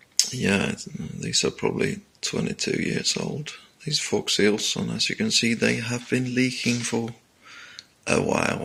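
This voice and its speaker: Mumbling at a fairly slow pace, a man talks against noticeable background noise. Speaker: motorcycle hobbyist mechanic. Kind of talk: tutorial. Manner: halting.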